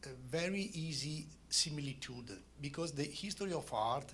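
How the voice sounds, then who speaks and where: Speaking with an Italian accent, a man uses a fairly high, bright and sharp voice with vocal fry at a moderate pace, and room echo can be heard. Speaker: art curator and critic. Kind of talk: lecture. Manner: halting.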